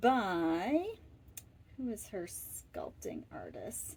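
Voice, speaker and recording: The very clean recording, with its silent background, captures a woman speaking in an American accent. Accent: Boston accent, comes out slightly. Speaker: doll collector YouTuber. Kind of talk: casual show-and-tell video.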